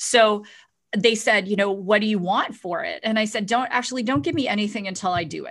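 Speaking at a fairly quick pace, a woman uses an ordinary speaking voice with lively intonation and a fairly high pitch. The recording is very clean, with a silent background. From Canada, Ontario. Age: 40s. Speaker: entrepreneur and author. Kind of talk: interview conversation.

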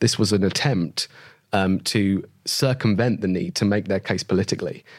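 With a normal speaking voice, a man talks at a fairly low pitch with ordinary pitch variation. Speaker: lawyer and columnist. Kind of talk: panel discussion.

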